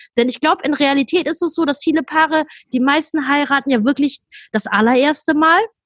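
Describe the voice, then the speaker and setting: A woman speaks at a fairly quick pace in a high voice with ordinary pitch variation, the sound dry and close with no echo. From Germany. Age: 30s. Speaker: wedding planner. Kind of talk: interview.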